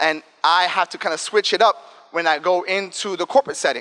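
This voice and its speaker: Speaking in an animated tone, a man uses a high pitch and ordinary pitch variation. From New York, South Bronx. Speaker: diversity and inclusion director, advertising strategist. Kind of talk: talk to students. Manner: fast; casual, animated.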